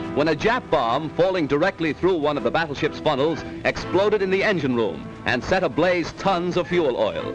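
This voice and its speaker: A man's fairly high-pitched voice comes through with music in the background. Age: 1942 recording. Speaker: newsreel commentator. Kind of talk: 1940s newsreel narration. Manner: dramatic, declamatory.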